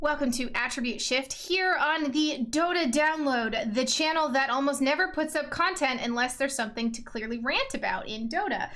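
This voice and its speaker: A woman talks at a moderate pace with hardly any pauses, her high-pitched voice energetic and her pitch varying in an ordinary way over noticeable background noise. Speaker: podcast host. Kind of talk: casual interview.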